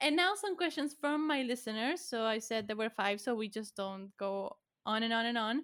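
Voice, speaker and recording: With a Spanish accent, a woman speaks at a moderate pace in a fairly high pitch with lively intonation. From Argentina. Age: 20s. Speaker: podcast host and college student. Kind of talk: casual chat. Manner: animated.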